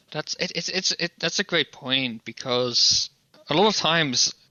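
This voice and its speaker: This man's voice sits fairly high in pitch, and its pitch moves in an ordinary way. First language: not English. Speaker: podcast co-host. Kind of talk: casual chat.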